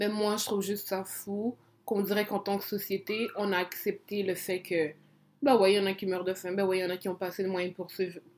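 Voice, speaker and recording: Her pitch sits in the medium range. The woman speaks at a fairly quick pace. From Congo. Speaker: podcast co-host. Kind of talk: casual chat. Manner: animated.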